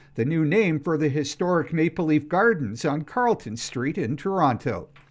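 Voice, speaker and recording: A man talks at a moderate pace in a fairly high voice against a quiet background. His is an unremarkable speaking voice. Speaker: radio newsreader. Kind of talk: radio newscast, crisp scripted newsreading delivered straight to the listener. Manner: steady, formal, even-paced.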